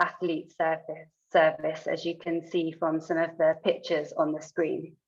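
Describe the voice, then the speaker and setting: Speaking with a British accent, a woman talks at a fairly slow pace and a fairly low pitch. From United Kingdom. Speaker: sports scientist. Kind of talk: lecture.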